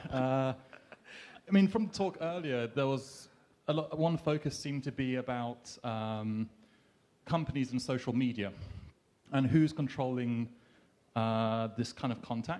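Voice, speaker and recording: With a London accent, this voice has a dark, mellow tone, ordinary pitch variation and a fairly slow pace over a quiet background. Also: man, medium pitch for a man. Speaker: audience member. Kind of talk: audience question. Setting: live event with audience. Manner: hesitant, many fillers.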